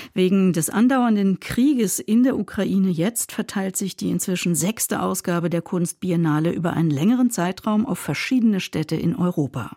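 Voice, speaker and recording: A woman speaks at medium pitch and a moderate pace, with hardly any pauses. Her tone is dark and mellow, her intonation lively, and the sound dry and close with no echo. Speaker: radio culture show host. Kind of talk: radio news magazine presenting.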